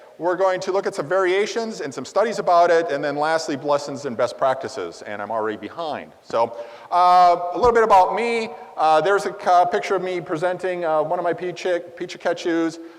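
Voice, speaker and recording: The intonation is lively and the pace fairly quick. Audible room echo surrounds the voice. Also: man, high pitch for a man. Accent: American. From US Midwest, Wisconsin. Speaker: conference presenter. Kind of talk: conference presentation. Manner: fast; halting, with fillers.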